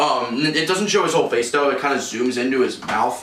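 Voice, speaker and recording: With lively intonation, a man speaks at a moderate pace and a fairly high pitch over noticeable background noise. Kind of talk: casual lecture to friends.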